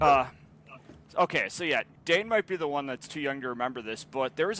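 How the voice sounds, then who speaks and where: A man speaks at a medium pitch. He has a normal speaking voice. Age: 20s. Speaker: podcast co-host. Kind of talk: casual chat.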